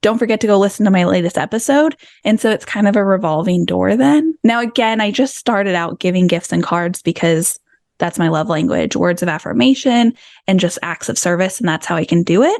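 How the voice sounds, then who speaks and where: Over a silent background in a very clean recording, a woman talks fairly quickly at a medium pitch, her tone animated and her intonation lively. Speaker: podcaster and business coach. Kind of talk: interview conversation.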